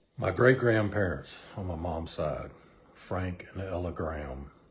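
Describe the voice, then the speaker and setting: A man with a very deep, low pitch talks at a moderate pace, and audible room echo surrounds his voice. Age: 60s. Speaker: church member giving testimony. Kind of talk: testimony. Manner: hesitant, with fillers.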